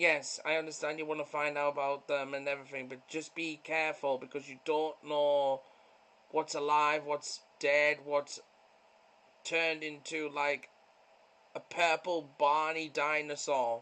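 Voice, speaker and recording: With a British accent, a man of fairly high pitch speaks in a bright, sharp tone at a fairly slow pace and with monotone, flat intonation. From Britain.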